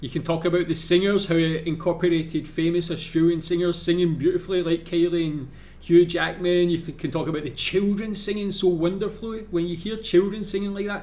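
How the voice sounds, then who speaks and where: With a Scottish accent, a man speaks fairly quickly at a high pitch, with fairly even intonation and hardly any pauses. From Scotland. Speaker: YouTube reactor. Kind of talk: video reaction commentary. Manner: casual, filler-heavy.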